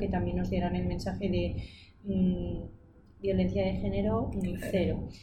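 Audible room echo surrounds a woman talking, and noticeable background noise runs beneath her. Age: 20s. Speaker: illustrator and designer. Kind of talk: casual interview.

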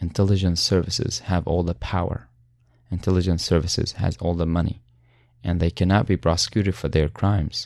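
A man with an Arabic accent and a very deep, low pitch talks at a fairly quick pace with fairly even intonation in a very clean recording with a silent background. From Syria. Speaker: human rights advocate and former prisoner. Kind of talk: interview. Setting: studio.

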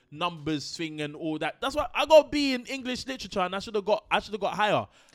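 The speaker has a London accent and an animated tone. Their pitch swings very widely. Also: man. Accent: London multicultural English. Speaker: podcast co-host. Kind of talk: casual chat.

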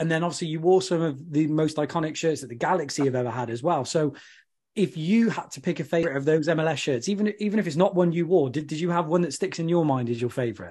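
A man with an English accent and a dark, mellow tone, fairly high-pitched, at a very fast pace with ordinary pitch variation, against a quiet background. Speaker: podcast host.

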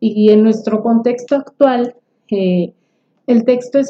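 A woman talks at a fairly slow pace in a fairly high pitch, with fairly even intonation. She has a plain, everyday voice. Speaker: podcast co-host. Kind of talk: casual book discussion.

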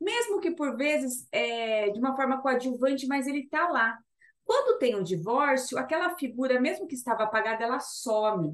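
Her voice is high-pitched, with lively intonation. The woman keeps a moderate pace. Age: 30s. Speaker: labour lawyer, podcast co-host. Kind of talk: casual legal chat.

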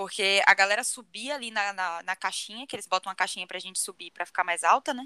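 A woman speaks at a medium pitch with ordinary pitch variation and a bright, sharp tone. The sound is dry and close, with no echo. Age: 20s. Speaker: podcast co-host. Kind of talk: casual chat.

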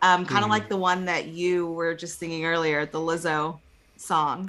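A woman's fairly low voice with a slight Texas accent, ordinary pitch variation and a fairly slow pace. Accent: slight Texas twang. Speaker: podcast co-host.

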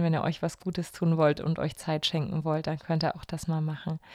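A woman speaks at a moderate pace with a fairly low voice and a dark, mellow tone. The recording is very clean, with a silent background. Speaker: podcast host. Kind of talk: casual podcast chat. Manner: warm, personable, reflective.

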